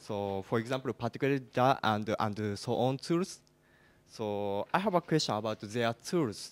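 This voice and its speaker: In a Japanese accent, a man speaks at a medium pitch and moderate pace with lively intonation, on a very clean recording with a silent background and a dry, close sound with no echo. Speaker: game engine developer, audience member. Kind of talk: audience question. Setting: conference hall with audience. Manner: halting.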